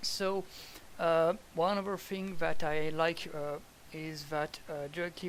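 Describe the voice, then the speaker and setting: Someone speaks at a very slow pace with a French accent. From France. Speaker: gamer giving game feedback. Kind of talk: gameplay commentary. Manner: halting, many fillers.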